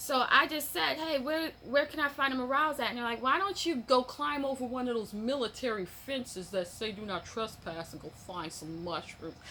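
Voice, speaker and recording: Over noticeable background noise, a woman at a high pitch talks at a moderate pace with hardly any pauses, her pitch swinging very widely. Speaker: mushroom-growing hobbyist vlogger. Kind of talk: casual vlog chat. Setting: at home on a patio/sunroom. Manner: rambling, conversational with fillers.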